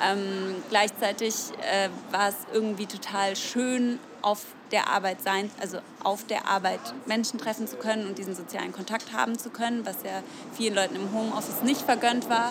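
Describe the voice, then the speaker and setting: Over noticeable background noise, a woman with a medium pitch talks at a moderate pace with ordinary pitch variation. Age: 20s. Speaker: tailor and union youth representative. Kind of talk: interview. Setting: café.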